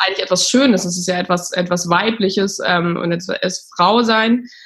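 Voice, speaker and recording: Her intonation fairly even and her pace moderate, a woman talks in an unremarkable speaking voice. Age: 30s. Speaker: startup founder. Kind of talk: interview.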